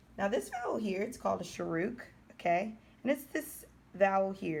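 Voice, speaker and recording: A woman's lively intonation is edged with vocal fry. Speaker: Hebrew language teacher. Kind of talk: tutorial. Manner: slow.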